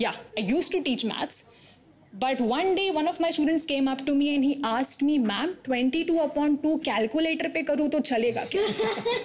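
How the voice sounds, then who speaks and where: Noticeable background noise sits behind a woman with a high pitch. Her intonation is lively, and her pace is moderate. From Thane, near Mumbai, India. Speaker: stand-up comedian. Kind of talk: stand-up.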